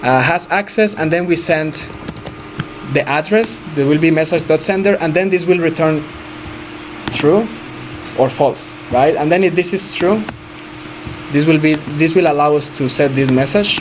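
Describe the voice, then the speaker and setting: Someone with a Spanish accent talks at a moderate pace, leaving long, frequent pauses amid noticeable background noise. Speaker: blockchain developer teaching a workshop. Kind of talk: live coding tutorial. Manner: halting, self-correcting.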